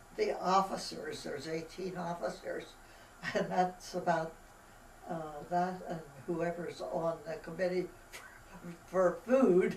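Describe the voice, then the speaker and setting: With an American accent, a woman of medium pitch speaks at a very slow pace amid audible room echo and noticeable background noise. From Pennsylvania, US (Palmyra area). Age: 90s. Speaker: elderly local resident. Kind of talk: oral history interview. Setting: library.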